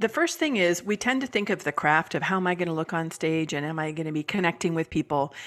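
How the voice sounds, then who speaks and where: A woman with a Californian accent, very fast and with hardly any pauses, ordinary pitch variation throughout. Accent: Californian American. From US West Coast, San Francisco Bay Area. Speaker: business coach and author. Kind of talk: podcast interview.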